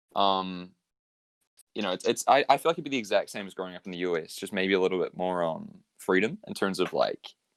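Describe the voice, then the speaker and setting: A man with a New Zealand accent at a very fast pace, in a dry, close sound with no echo. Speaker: graphic designer. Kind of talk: casual chat.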